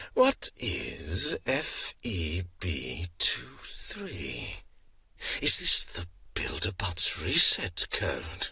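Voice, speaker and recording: Putting on a cartoonish character voice, a man speaks in a theatrical tone at a very deep, low pitch and a very slow pace. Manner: sneering, theatrical, disdainful.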